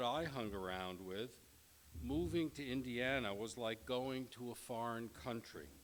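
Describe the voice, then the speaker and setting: With a slight New York accent, a man talks at a moderate pace with a medium pitch and lively intonation. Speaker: professor. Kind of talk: lecture. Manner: formal.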